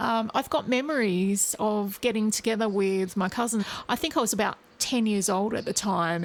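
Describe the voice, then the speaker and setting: Medium-pitched speech from a woman with an Australian accent, at a moderate pace and with ordinary pitch variation. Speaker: singer. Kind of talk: interview.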